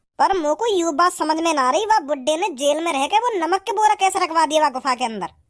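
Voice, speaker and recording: A high-pitched, cartoonish character voice at a very fast pace. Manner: blunt, folksy.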